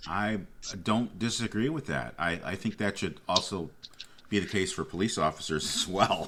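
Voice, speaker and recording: Speaking at a moderate pace, a man uses lively intonation with a fairly low pitch and vocal fry. His tone is bright and sharp. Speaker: firearms instructor and radio host. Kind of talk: interview. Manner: commanding police tone.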